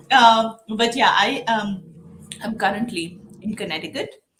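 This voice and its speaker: Speaking at a moderate pace, a woman with an Indian accent uses ordinary pitch variation. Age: 40s. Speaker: diversity and inclusion executive. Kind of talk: interview.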